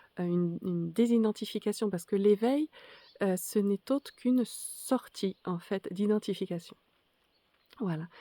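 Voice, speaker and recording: A woman with a dark, mellow tone and a medium pitch speaks at a fairly slow pace with ordinary pitch variation, recorded very cleanly against a silent background in a dry, close sound with no echo. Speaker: spiritual teacher. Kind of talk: spoken reflection to camera. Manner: halting, many hesitations.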